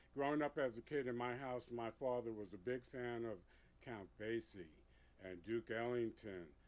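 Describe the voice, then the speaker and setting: Talking at a moderate pace with a New York accent, a man of medium pitch shows ordinary pitch variation. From New York City, Puerto Rican family. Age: 60s. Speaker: veteran club DJ. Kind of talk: interview storytelling. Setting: studio.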